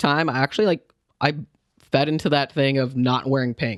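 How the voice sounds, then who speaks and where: A man speaks at a medium pitch and moderate pace, with a dry, close sound with no echo and a very clean recording with a silent background. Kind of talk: casual chat. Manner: halting.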